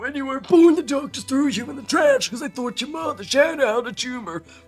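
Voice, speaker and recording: A man's put-on character voice, growling and extremely high-pitched, at a fairly quick pace over music in the background. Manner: guttural, aggressive.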